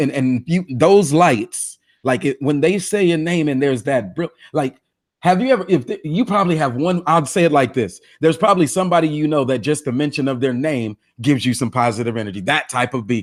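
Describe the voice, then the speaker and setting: A man talks at a fairly quick pace in a fairly high voice with lively intonation, on a very clean recording with a silent background. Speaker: guest motivational speaker. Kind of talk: interview. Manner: halting, self-correcting.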